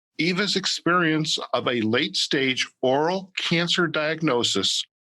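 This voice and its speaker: This man's voice is fairly high in pitch, with a bright, sharp tone and lively intonation. The sound is dry and close, with no echo, over a quiet background. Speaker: podcast host. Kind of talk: podcast interview questions.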